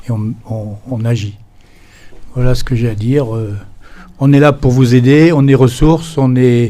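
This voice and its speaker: This man has a medium pitch and a dark, mellow tone. His intonation stays fairly even, broken by long, frequent pauses. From France. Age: 70s. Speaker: association president. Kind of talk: meeting speech. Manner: halting.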